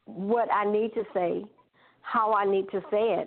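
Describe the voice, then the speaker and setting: A woman with an Alabama accent speaks in a fairly high pitch. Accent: Southern US (Alabama). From US South, Alabama. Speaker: gospel recording artist. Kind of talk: casual interview.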